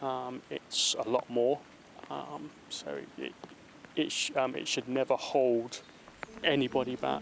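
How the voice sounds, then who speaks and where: A man's very slow speech, broken by long, frequent pauses, is heard through noticeable background noise. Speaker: serviceman with a stammer. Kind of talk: interview testimony. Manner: stammering, halting.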